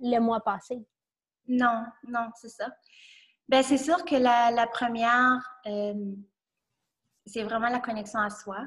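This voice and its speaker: A woman speaks very slowly with long, frequent pauses and a fairly high pitch. Her intonation is fairly even, while her loudness swings widely. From New Brunswick. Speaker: entrepreneur. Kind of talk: casual interview. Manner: halting.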